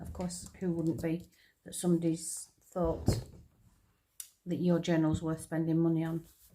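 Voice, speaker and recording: A woman with a strong northern English accent speaks in a fairly low, dark, mellow voice, with monotone, flat intonation, a fairly slow pace and long, frequent pauses. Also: big swings in loudness. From northern England. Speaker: crafter, retired nurse. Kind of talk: casual chat while crafting. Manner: hesitant, with many ums and repeats.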